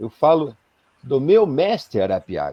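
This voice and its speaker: Dry and close with no echo, a man's dark, mellow voice moves at a fairly slow pace with very wide pitch swings. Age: 60s. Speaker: spiritual leader. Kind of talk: live-stream interview. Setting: live video stream. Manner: halting, many fillers.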